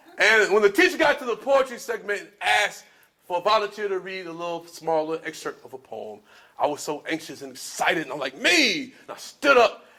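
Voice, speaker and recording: A man with an American accent speaks in a raised, projected voice at a fairly quick pace, his high pitch swinging very widely. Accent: Southern twang, sometimes. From US South, Spartanburg, South Carolina. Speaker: spoken word artist. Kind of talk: storytelling talk to an audience.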